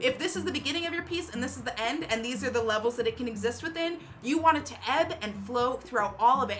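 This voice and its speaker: A woman's raised, projected, animated voice at a very fast pace, with lively intonation over noticeable background noise. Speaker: DJ and livestream host. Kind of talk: livestream tutorial. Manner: loud.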